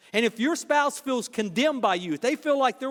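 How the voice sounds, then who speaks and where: A man speaks in a high voice at a fairly quick clip. The sound is dry and close, with no echo. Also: very clean recording, silent background. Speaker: pastor. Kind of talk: sermon. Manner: fast.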